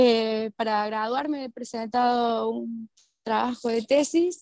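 In a dry, close recording with no echo, a woman with a fairly high pitch and a plain, everyday voice speaks at a fairly slow pace. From Argentina, Córdoba. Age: 30s. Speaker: permaculture practitioner. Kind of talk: casual interview chat. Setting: remote call.

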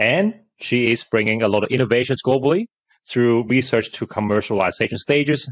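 The speaker uses a normal speaking voice at a moderate pace with ordinary pitch variation. The background is quiet and the sound is dry and close with no echo. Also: man. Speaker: podcast host. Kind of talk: interview.

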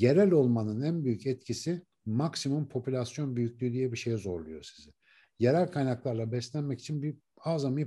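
Against a quiet background, a man with a medium pitch and a dark, mellow, somewhat breathy tone speaks at a moderate pace with lively intonation. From Turkey, Ankara. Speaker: neuroscientist and author. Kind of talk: interview conversation.

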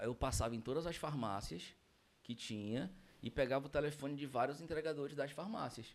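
At a fairly quick pace, a man with a normal speaking voice talks with fairly high pitch and ordinary pitch variation. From Brazil, Manaus (Amazonas). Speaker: franchise owner. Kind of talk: casual chat.

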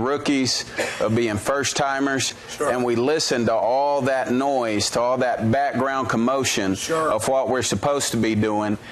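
A man keeps a fairly even intonation as noticeable background noise carries on around him. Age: 30s. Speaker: preacher. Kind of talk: sermon. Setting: church.

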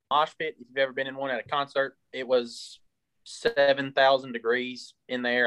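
A man speaks in a plain, everyday voice with fairly even intonation. His moderate pace is captured dry and close, with no echo. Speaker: sports podcast co-host. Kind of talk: casual sports talk.

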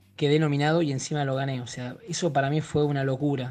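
A man speaks at a fairly quick pace with a fairly high pitch. His intonation stays fairly even over music in the background. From Argentina. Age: 30s. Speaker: actor. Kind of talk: casual interview.

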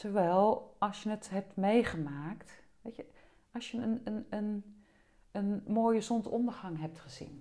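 At a very slow pace, a woman speaks in a medium-pitched, somewhat breathy voice with a dark, mellow tone. Her pitch varies in an ordinary way, and her loudness swings widely. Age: 50s. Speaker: body-oriented psychotherapist and trainer. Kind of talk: interview conversation.

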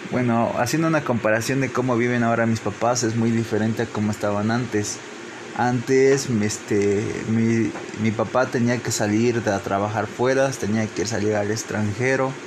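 Medium-pitched man with a Veracruz accent, moderate pace, fairly even intonation, noticeable background noise. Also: very even loudness. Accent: Mexican Spanish, Veracruz. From Mexico, Papantla, Veracruz. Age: 20s. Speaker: engineering graduate. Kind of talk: interview. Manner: halting.

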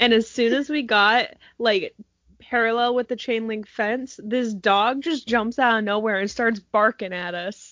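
A woman talks at a fairly slow pace in an ordinary speaking voice. Her pitch is fairly high, and her intonation is fairly even. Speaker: podcast co-host. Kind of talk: casual chat.

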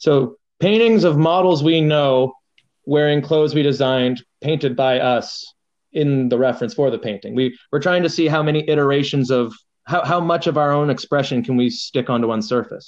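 A man with a Canadian accent speaks at a moderate pace in a plain, everyday voice, pitched fairly high with ordinary pitch variation. His loudness stays very even against a quiet background. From Canada. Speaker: painter and muralist. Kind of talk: casual interview. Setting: phone call on speakerphone.

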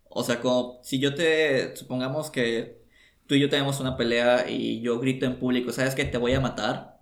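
Medium in pitch, a man talks at a moderate pace in a monotone, flat intonation. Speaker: podcast co-host. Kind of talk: casual chat. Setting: home recording studio.

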